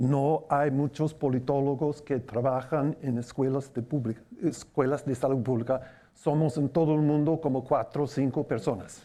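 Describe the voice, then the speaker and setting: Speaking at a moderate pace with very even loudness, a man has a fairly high pitch, a dark, mellow tone and fairly even intonation. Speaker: political scientist, public health professor. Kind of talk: panel discussion.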